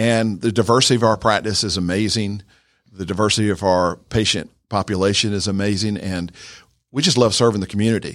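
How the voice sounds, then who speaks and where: In a very clean recording with a silent background, a man with an American accent uses an ordinary speaking voice, speaking at a fairly quick pace and a fairly low pitch with fairly even intonation. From north Georgia, US South. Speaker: dentist. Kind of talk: radio interview.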